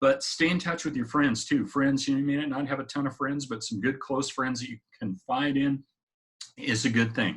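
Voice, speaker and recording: In a plain, everyday voice, a man speaks at a moderate pace with a fairly high pitch and fairly even intonation. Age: 50s. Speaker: motivational vlogger. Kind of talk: casual personal-development talk to camera. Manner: conversational, with frequent fillers.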